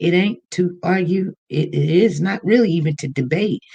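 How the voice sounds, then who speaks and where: A woman speaks in a dark, mellow tone. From Kansas City, US Midwest. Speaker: livestream host. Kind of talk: casual livestream chat. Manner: casual, chatty.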